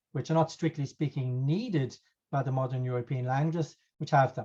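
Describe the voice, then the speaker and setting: A man with an Irish accent at a very fast pace, fairly high in pitch, somewhat breathy, dark and mellow in tone, with fairly even intonation. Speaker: professor. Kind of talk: lecture. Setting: video call. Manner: hesitant.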